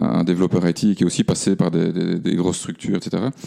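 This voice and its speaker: There is noticeable background noise as a man speaks at a fairly quick clip. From Belgium, Namur region. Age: 40s. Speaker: engineer and cooperative founder. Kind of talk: podcast interview. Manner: halting, many fillers.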